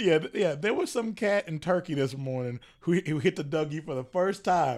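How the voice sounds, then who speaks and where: A normal speaking voice carries lively intonation. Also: man, fairly high pitch for a man, moderate pace. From US South. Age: 30s. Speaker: podcast host. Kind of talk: casual chat.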